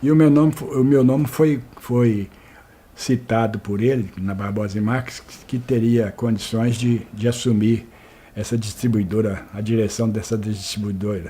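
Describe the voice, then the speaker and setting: A man's dark, mellow voice at medium pitch, fairly slow, with fairly even intonation and big swings in loudness. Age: 70s. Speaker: retired store manager, oral history interviewee. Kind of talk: oral history interview. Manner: halting, many repetitions and false starts.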